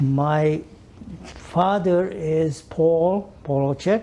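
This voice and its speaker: A man speaks with a Hungarian accent. His pitch is fairly high, with ordinary variation. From Hungary. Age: 80s+. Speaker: Holocaust survivor. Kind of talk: oral history interview. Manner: halting.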